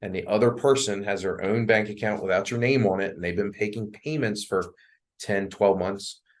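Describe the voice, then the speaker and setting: A man with a fairly low pitch and fairly even intonation, against a quiet background. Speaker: mortgage loan officer. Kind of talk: presentation with Q&A to real estate agents. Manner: fast.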